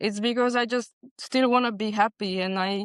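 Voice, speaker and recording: A woman speaks with a Hungarian accent. Her intonation stays fairly even. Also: dry, close sound with no echo. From Transylvania, Romania (Hungarian minority). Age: 30s. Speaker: bartender. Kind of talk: panel interview.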